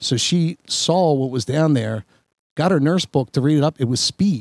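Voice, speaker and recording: A plain, everyday voice moves at a moderate pace with very even loudness and ordinary pitch variation. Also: man, fairly high pitch for a man. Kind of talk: casual podcast conversation.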